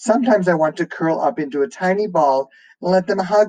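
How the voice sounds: This natural reading voice shows a typical amount of pitch movement.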